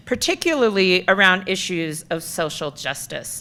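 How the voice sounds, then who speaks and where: Loud and moderately paced, the voice has a bright, sharp tone. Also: woman. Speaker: keynote speaker, city storytelling office director. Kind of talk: keynote talk.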